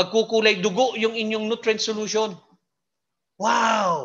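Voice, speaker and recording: A man's bright, sharp-toned voice at a fairly slow pace against a quiet background. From Philippines. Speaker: hydroponics expert / lecturer. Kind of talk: lecture. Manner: halting, many fillers.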